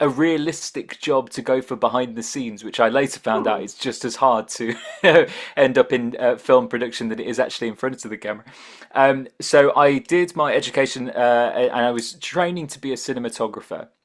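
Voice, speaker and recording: A man's medium-pitched voice at a fairly quick pace, with ordinary pitch variation, big swings in loudness and noticeable background noise. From northern England. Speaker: voice-over actor, audiobook narrator. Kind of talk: casual interview answer, conversational.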